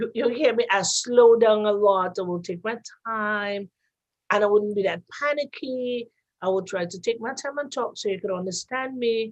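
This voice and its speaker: A woman speaks at a moderate pace. Her pitch is fairly high, with ordinary variation. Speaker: radio host. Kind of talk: casual chat. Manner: loud.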